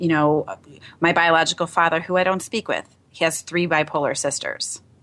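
This woman has a normal speaking voice and talks at a moderate pace. Her intonation stays fairly even. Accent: American. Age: 40s. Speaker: radio host. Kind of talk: casual interview conversation.

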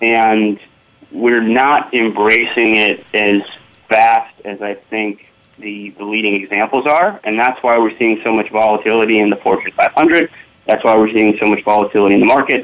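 A man speaks in a normal speaking voice at medium pitch, keeping a moderate pace and fairly even intonation. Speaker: business technology executive. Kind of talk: panel discussion.

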